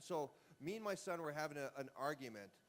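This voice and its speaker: A voice with a Canadian accent and lively intonation. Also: man. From Canada. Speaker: retired baseball player. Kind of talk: casual interview. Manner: halting.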